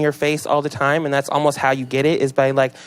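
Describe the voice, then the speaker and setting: Music plays in the background. A man with an American accent speaks at a fairly high pitch. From Seattle area, Washington, US. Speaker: rapper. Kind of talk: casual interview. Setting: radio studio. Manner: animated.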